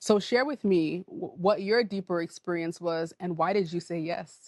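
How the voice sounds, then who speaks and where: The woman has a fairly low pitch and ordinary pitch variation at a moderate pace. Her recording is dry and close, with no echo. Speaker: podcast host and wellness facilitator. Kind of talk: conversational interview.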